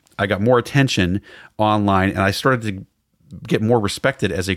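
This man has an ordinary speaking voice with a fairly low pitch, ordinary pitch variation and a moderate pace. The recording is very clean with a silent background and a dry, close sound with no echo. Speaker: TV writer and fast food reviewer. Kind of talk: casual interview chat.

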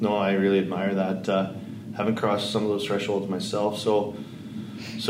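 Fairly low male voice at a fairly quick pace, with audible room echo and noticeable background noise. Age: 40s. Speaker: podcast host. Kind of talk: interview conversation.

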